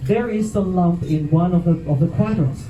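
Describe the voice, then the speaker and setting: A man with a Mexican accent at a fairly quick pace, over noticeable background noise. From Mexico. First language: Spanish. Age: 50s. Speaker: comedian. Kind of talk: stand-up.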